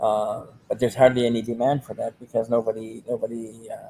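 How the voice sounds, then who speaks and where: A man talking at a very fast pace. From Mi'kmaq community, eastern Canada, summers in Maine. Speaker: filmmaker and artist. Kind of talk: casual interview. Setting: festival venue. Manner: halting.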